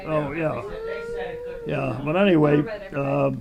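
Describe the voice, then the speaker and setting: A man talks over noticeable background noise. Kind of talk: interview answer. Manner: hesitant, rambling storytelling.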